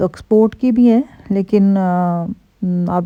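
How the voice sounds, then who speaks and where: A woman speaks in a Punjabi accent at medium pitch. Her tone is dark and mellow, and her intonation fairly even. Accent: Punjabi-accented Urdu. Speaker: vlogger. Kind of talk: casual vlog talk. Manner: chatty, many fillers.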